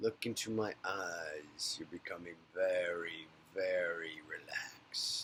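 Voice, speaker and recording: The pace is fairly slow. A man performs in a put-on character voice. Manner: soothing, slow, calming.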